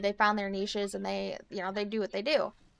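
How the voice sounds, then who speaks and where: Very fast, animated speech with a Midwestern American accent and a bright, sharp tone. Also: woman. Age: 30s. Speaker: streamer. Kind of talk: casual chat. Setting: live stream.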